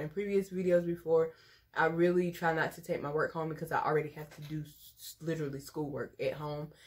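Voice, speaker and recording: Somewhat breathy and at a very deep, low pitch, a woman talks at a fairly quick pace in a monotone, flat intonation with big swings in loudness. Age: 20s. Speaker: teacher and vlogger. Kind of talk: casual vlog talk to camera.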